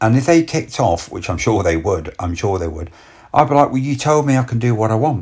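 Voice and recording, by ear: A man speaks fairly quickly in a somewhat breathy voice at a medium pitch, with very wide pitch swings. The recording is very clean, with a silent background.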